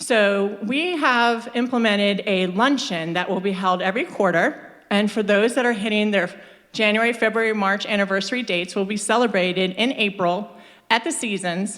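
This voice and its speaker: A woman speaks in an ordinary speaking voice at a medium pitch. Her pace is moderate and her pitch variation ordinary. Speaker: staff presenter at company meeting. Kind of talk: staff presentation.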